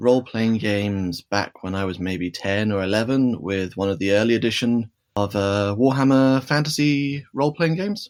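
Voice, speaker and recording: Lively intonation runs through this man's speech with a British accent. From UK. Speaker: game shop owner. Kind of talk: interview.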